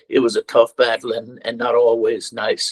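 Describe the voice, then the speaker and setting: A man with an Irish accent talks at a moderate pace, the sound dry and close with no echo. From Ireland. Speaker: political candidate. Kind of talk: campaign speech.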